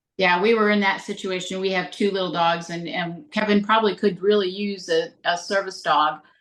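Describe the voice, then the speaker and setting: A woman with an American accent speaks at a medium pitch. Her intonation is monotone and flat, and she leaves hardly any pauses. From Northern Michigan. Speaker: podcast co-host. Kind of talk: interview. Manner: fast.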